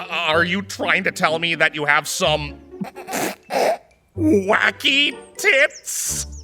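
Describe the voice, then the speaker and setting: A put-on character voice from a man, fairly high in pitch and very slow, with faint music in the background. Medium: audio drama. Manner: stammering, awkward.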